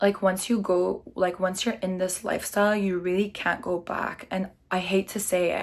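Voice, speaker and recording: Speaking at a moderate pace, a woman uses an animated tone at a medium pitch. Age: 20s. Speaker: lifestyle vlogger. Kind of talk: casual chat. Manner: loud.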